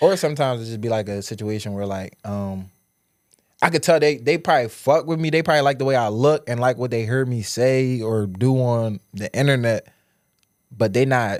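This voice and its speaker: Speaking at a fairly quick pace, a man with medium pitch and ordinary pitch variation comes through in a very clean recording with a silent background. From Southwest Philadelphia. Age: 20s. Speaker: social media personality. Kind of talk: casual interview chat.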